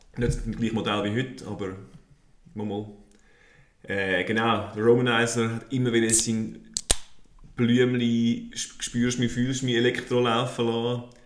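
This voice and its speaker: A man speaks at a medium pitch in a flat monotone, at a fairly slow pace with long, frequent pauses, and audible room echo. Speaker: podcast host. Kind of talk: casual chat.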